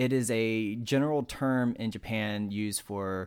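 In a very clean recording with a silent background, a man with a medium pitch and ordinary pitch variation speaks in a plain, everyday voice. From North Carolina, Wilkes County. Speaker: podcast co-host. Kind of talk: casual chat.

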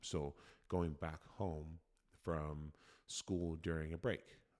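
Someone with an American accent speaks very slowly, with fairly even intonation and long, frequent pauses. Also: man. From Oregon. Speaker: podcast host, former college football player. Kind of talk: solo podcast explainer. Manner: casual, conversational.

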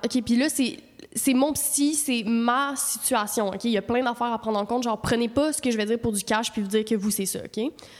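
A woman speaks in an animated tone at a fairly quick pace, her pitch fairly high with ordinary variation. Noticeable background noise runs underneath. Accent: Quebec. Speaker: podcast co-host. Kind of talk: casual chat. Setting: studio.

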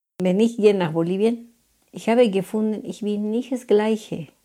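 Recorded very cleanly against a silent background, a woman talks at a medium pitch in a dark, mellow tone with ordinary pitch variation. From Bolivia. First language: Spanish (speaking German). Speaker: cleaner. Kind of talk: interview. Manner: halting.

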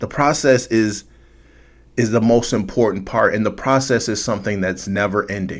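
Pitch varies in an ordinary way as the speech proceeds at a moderate pace. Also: man, fairly low pitch for a man. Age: 40s. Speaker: podcast host. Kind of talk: solo monologue podcast. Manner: casual, conversational; halting with repetitions.

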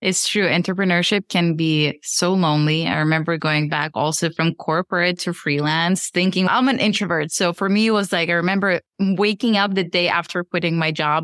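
A woman speaks at a moderate pace with hardly any pauses and very even loudness. Her pitch is fairly low, and the sound is dry and close with no echo. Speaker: podcast host and business educator. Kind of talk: casual interview chat. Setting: remote video call. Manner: energetic.

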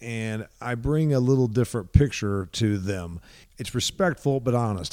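In a US Midwestern accent, a man talks at a moderate pace with a fairly low pitch. The recording is very clean, with a silent background. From Indiana, US Midwest. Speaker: agricultural speaker and podcaster. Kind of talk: interview. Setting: in person at company headquarters.

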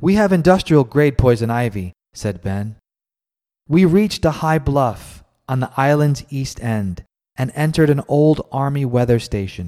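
Lively in intonation and dark and mellow in tone, a man speaks at a moderate pace in a very clean recording with a silent background. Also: fairly high pitch for a man. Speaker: podcast host. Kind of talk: scripted narration. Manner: measured, solemn; formal, ominous reading.

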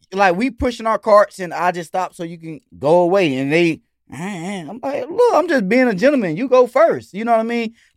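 With an American accent, a man speaks at a moderate pace with hardly any pauses, his high pitch swinging very widely and his loudness rising and falling a lot, in a dry, close, echo-free sound on a very clean recording with a silent background. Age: 30s. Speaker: rapper and dancer. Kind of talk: casual chat.

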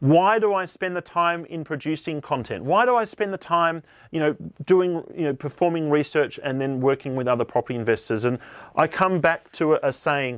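This man has an Australian accent, a fairly high pitch and lively intonation. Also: moderate pace. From Tasmania, Australia. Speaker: podcast host, property investment advisor. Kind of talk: solo podcast monologue.

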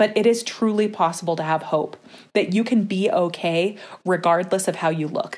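A woman speaks at a moderate pace with a medium pitch. It is a plain, everyday voice. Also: ordinary pitch variation. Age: 30s. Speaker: nonprofit co-founder, body image advocate. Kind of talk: casual interview.

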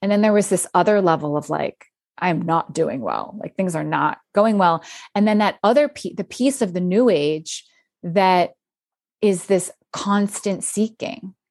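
A woman with an American accent talks at a fairly slow pace. Hers is an ordinary speaking voice, medium in pitch for a woman, with ordinary pitch variation. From US, Philadelphia area. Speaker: author and podcaster. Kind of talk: casual chat.

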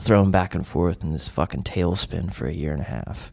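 Moderate pace and vocal fry in an American accent, on a very clean recording with a silent background. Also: man. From US South. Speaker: counselor. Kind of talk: casual chat.

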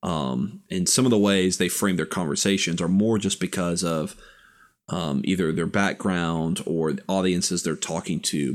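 A man with an American accent speaks at a moderate pace in a very deep, low pitch. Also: very clean recording, silent background. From US South (Tennessee, Florida, Texas). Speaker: podcast co-host. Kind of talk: casual chat.

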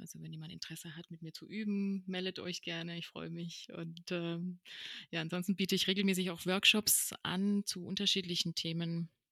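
A woman's fairly low-pitched voice, bright and sharp in tone, with monotone, flat intonation and a dry, close sound with no echo. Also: moderate pace, big swings in loudness. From Paraguay. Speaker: yoga and meditation teacher, coach. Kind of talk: podcast interview.

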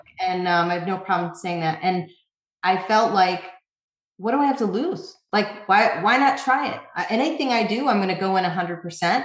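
A woman with an American accent at a medium pitch, moderate pace and ordinary pitch variation, with audible room echo. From upstate New York. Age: 40s. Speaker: magazine founder and editor. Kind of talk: interview.

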